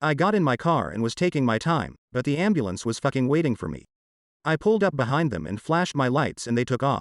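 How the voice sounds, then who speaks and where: A man growls at a very fast pace with a medium pitch. His intonation is lively. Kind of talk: comic story reading. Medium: read story. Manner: wry, conversational.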